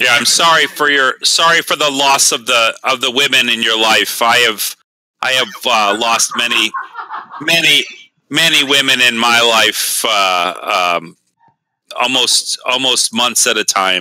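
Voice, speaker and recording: Using a put-on character voice, a man speaks at a medium pitch and a fairly slow pace. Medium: actual play. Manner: hesitant, stammering.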